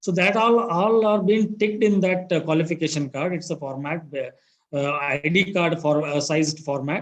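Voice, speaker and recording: The speech moves at a moderate pace with hardly any pauses. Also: man, high pitch for a man, ordinary pitch variation. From India, Karnataka. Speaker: job interview candidate, HR manager. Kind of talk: job interview. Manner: halting, many fillers; soft-spoken. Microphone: voice too quiet.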